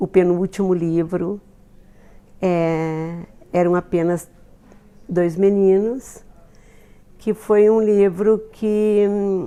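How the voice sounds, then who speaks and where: Speaking at a very slow pace with long, frequent pauses, a woman holds a medium pitch and fairly even intonation. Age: 70s. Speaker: author. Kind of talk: documentary interview testimony. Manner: halting.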